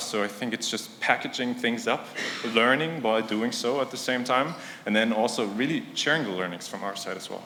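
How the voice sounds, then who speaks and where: Talking at a very fast pace, a man with a medium-pitched voice is heard with audible room echo. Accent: non-native. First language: not English. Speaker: conference speaker, startup product executive. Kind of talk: conference talk. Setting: stage with audience. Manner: casual, filler-heavy.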